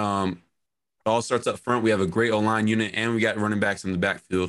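A man with a normal speaking voice and an American accent talks at medium pitch and a fairly quick pace in a very clean recording with a silent background. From Arizona, Phoenix. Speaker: college football player. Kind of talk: casual chat.

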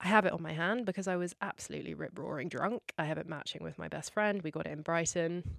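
Her voice fairly low and touched with vocal fry, a woman rushes along at a very fast pace with hardly any pauses and ordinary pitch variation. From England. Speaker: podcast host. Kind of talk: casual solo Q&A chat. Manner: emotional, laughs often.

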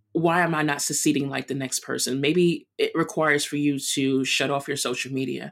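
A woman speaks with a New York accent in a very deep, low pitch. The recording is very clean, with a silent background. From Brooklyn, New York. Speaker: runner and chef. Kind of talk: interview.

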